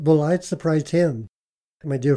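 A man with a dark, mellow tone speaks at a moderate pace. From Utah, Moab. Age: 60s. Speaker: cook. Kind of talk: interview storytelling.

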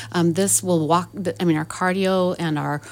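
This woman has an unremarkable speaking voice, fairly low in pitch, with ordinary pitch variation at a moderate pace. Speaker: gym assistant manager. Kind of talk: casual radio interview. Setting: radio studio.

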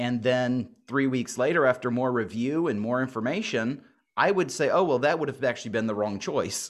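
A man speaks at a moderate pace in a normal speaking voice, medium pitched with ordinary pitch variation. The background is quiet. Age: 40s. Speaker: pastor. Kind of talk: interview.

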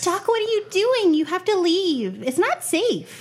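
At a moderate pace, someone uses a put-on character voice with an extremely high pitch. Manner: anxious, urgent.

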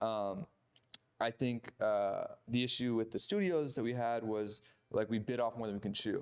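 This is a man with an American accent. His pitch sits in the medium range. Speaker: film producer. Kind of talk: casual chat.

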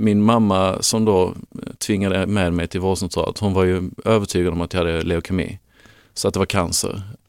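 Recorded very cleanly against a silent background, a man talks at a fairly low pitch with fairly even intonation. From Lund, Skåne, southern Sweden. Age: 30s. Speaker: parent of child with diabetes. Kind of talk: interview. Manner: halting.

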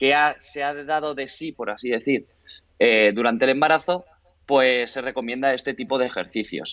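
A man's fairly high voice carries fairly even intonation. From Spain, Barcelona. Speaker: fitness trainer. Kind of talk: interview. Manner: halting.

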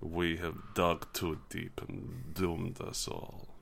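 A man puts on a character voice with a Russian accent, pitched very deep and low. He speaks at a very slow pace over clear background noise. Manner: grim, mournful.

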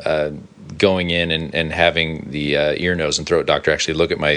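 Over noticeable background noise, a man speaks in a very deep, low voice. His intonation is monotone and flat. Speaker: worship pastor and podcast host. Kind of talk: casual chat.

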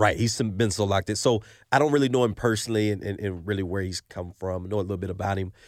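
A man talks very fast in an American accent at a fairly low pitch with ordinary pitch variation. The recording is very clean, with a silent background. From Oklahoma City. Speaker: former college football cornerback. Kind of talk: casual sports chat.

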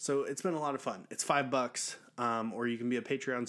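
The recording is very clean, with a silent background. A man with an American accent talks at a fairly quick pace and medium pitch with fairly even intonation. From US Southeast. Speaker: podcast host, divorced dad. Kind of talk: casual monologue. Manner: forced energy.

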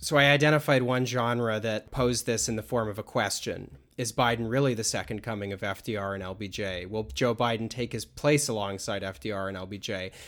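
Recorded very cleanly with a silent background, a man in an ordinary speaking voice talks at a moderate pace and medium pitch, with ordinary pitch variation and hardly any pauses. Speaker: podcast host. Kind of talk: casual conversation.

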